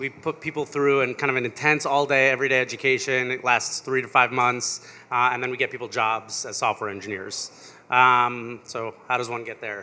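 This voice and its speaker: A man with an American accent, medium pitch and a bright, sharp tone, at a moderate pace with hardly any pauses. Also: fairly even intonation. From New York. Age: 30s. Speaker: founder of a coding school. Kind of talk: onstage interview. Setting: stage with audience.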